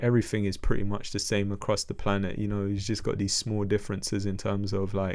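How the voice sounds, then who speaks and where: A man with a London accent and a fairly low pitch rushes at a very fast pace with hardly any pauses, his intonation monotone and flat. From London, England. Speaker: music artist. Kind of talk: podcast interview.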